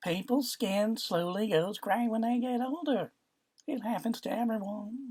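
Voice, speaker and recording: Using a put-on character voice, a woman speaks at a moderate pace with a fairly high pitch. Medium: read story. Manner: light, sugary, falsely affectionate.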